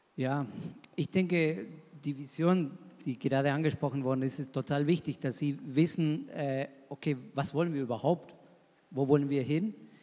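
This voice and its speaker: Using long, frequent pauses, a man with a Spanish accent speaks at a moderate pace in a dark, mellow tone, his fairly high pitch showing ordinary pitch variation. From Argentina. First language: Spanish (speaking German). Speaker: missionary pastor. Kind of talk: panel discussion.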